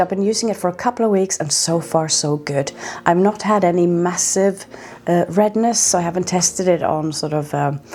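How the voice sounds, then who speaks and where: Noticeable background noise sits behind this woman's voice. She speaks at a moderate pace with a Norwegian accent. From Norway. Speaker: skincare vlogger. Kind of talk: product review vlog.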